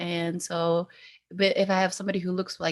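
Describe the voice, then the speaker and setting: In a very clean recording with a silent background, a woman with an American accent talks at a fairly quick pace in a normal speaking voice at a medium pitch. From Salt Lake City, Utah. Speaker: medical student. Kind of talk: panel discussion.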